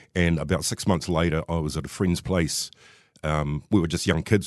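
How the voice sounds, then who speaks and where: Against a quiet background, a man with a New Zealand accent talks at a fairly quick pace in a very deep, low pitch with vocal fry. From New Zealand, Wellington. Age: 50s. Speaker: recovering alcoholic. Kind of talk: personal testimony interview.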